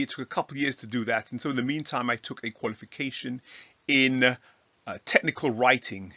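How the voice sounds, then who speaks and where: A man's medium-pitched voice with an English accent at a fairly quick pace. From England. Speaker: Bible teacher. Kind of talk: casual talk to camera. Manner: halting with fillers.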